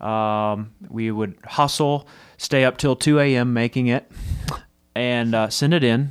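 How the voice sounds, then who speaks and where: Over a very clean recording with a silent background, a man with an American accent and an unremarkable speaking voice talks at a fairly slow pace, medium in pitch with fairly even intonation. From Texas. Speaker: music licensing company co-founder. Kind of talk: casual interview chat. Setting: studio.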